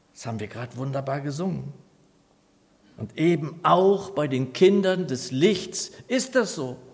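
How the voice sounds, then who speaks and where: A man with a fairly high pitch talks at a fairly slow pace, with long, frequent pauses, very wide pitch swings and big swings in loudness, in audible room echo. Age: 60s. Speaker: pastor. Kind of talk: sermon.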